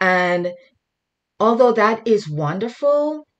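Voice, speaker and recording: A woman's very slow speech with lively intonation and a Jamaican accent, against a quiet background. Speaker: guest speaker, mental health worker. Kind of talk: sermon. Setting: video call. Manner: halting.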